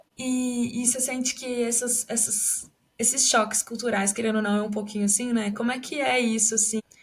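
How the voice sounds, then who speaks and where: Her intonation monotone and flat, a woman speaks at a moderate pace with a fairly high pitch. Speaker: podcast host. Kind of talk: casual interview chat.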